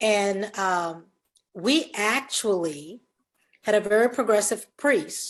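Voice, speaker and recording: The pace of this woman's speech is very slow. Her pitch shows ordinary variation. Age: 70s. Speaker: parishioner asking a question. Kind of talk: question from audience.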